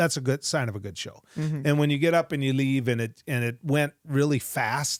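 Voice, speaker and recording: In a very clean recording with a silent background, a man with an American accent uses an ordinary speaking voice, a fairly high pitch and ordinary pitch variation. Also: moderate pace, hardly any pauses. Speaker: radio talk show host and former politician. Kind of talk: podcast interview answer.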